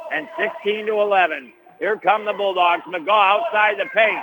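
Over noticeable background noise, a man with an American accent talks in a high voice with ordinary pitch variation. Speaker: radio play-by-play announcer. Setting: radio broadcast from gym. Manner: chatty and folksy between plays.

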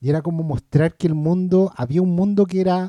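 At a moderate pace, a man with a Chilean accent speaks in a dark, mellow tone, the sound dry and close with no echo. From Chile, Maipú (Santiago). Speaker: film podcast panelist. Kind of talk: casual chat.

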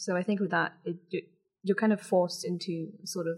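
A woman's fairly low, somewhat breathy voice, flat and monotone, at a fairly quick pace. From Dubai, UAE, British schools. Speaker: podcast guest, university student. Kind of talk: casual interview chat.

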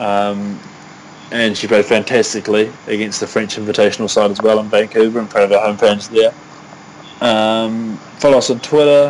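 This man talks at a moderate pace in a New Zealand accent, his pitch fairly low and his intonation monotone and flat. Noticeable background noise runs under the speech. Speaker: podcast co-host. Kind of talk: casual chat.

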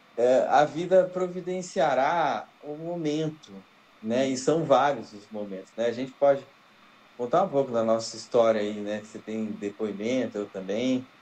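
At a fairly slow pace, a normal speaking voice carries lively intonation. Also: man, medium pitch for a man. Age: 40s. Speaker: podcast co-host. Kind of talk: casual chat.

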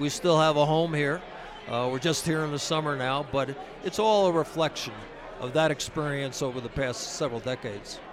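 Speaking at a fairly quick pace, a man with a fairly high pitch and ordinary pitch variation is heard over noticeable background noise. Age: 70s. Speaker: ski academy benefactor. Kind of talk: interview. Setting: mobile studio at a ski resort. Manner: halting.

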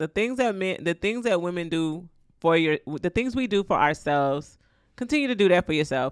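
A woman with a fairly low pitch swings her voice very widely, recorded dry and close with no echo on a very clean track with a silent background. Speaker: podcast co-host. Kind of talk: casual chat. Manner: laughs often.

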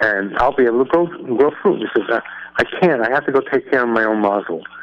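The intonation rises and falls in a lively way. It comes from an unforced reading voice.

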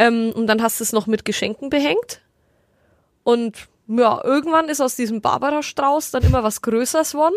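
Using a Franconian accent, a woman speaks at a moderate pace with a high pitch and ordinary pitch variation. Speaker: podcast co-host. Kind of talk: casual chat.

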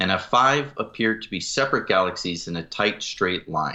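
Medium in pitch and moderate in pace, a man has an ordinary speaking voice with lively intonation. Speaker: podcast co-host. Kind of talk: casual discussion.

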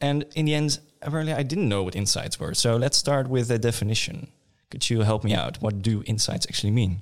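An unremarkable speaking voice from a man, with lively intonation and a fairly quick pace. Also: medium pitch for a man. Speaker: podcast host. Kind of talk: casual interview.

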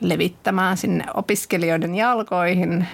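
Her pace is moderate as the woman speaks. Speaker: city network manager. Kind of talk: casual interview. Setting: studio.

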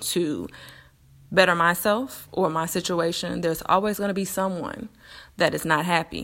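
A woman at medium pitch talks at a moderate pace in a very clean recording with a silent background. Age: 30s. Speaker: podcast host. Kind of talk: personal monologue. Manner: hesitant with fillers.

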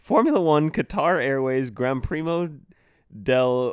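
At a fairly slow pace, a man with a fairly high pitch and ordinary pitch variation speaks in an ordinary speaking voice on a very clean recording with a silent background. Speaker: podcast co-host and producer. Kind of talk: casual chat.

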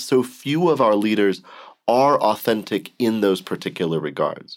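A man with an American accent and vocal fry at a moderate pace, on a very clean recording with a silent background. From US Southwest, Arizona. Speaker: theology professor. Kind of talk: interview.

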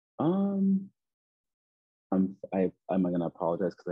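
A man talks in a Nova Scotian accent. The sound is dry and close, with no echo. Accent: Canadian (Nova Scotian). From Nova Scotia, Canada (Preston). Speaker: children's author and basketball coach. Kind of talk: casual interview.

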